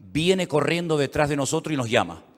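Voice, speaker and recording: This man talks very fast, with a fairly high voice. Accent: Canary Islands. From Canary Islands, Spain. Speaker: pastor. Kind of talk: sermon. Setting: church service.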